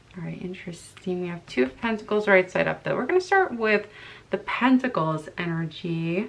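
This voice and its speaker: A woman at medium pitch and moderate pace, with ordinary pitch variation, big swings in loudness and noticeable background noise. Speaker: tarot reader. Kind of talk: tarot reading to camera. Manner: casual, conversational with hesitations.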